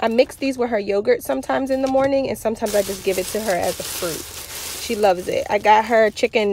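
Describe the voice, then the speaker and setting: At a fairly quick pace, the speech shows ordinary pitch variation, with light background noise and a dry sound with no echo. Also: woman. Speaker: parent vlogger. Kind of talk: casual vlog chat. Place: car. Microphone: phone near.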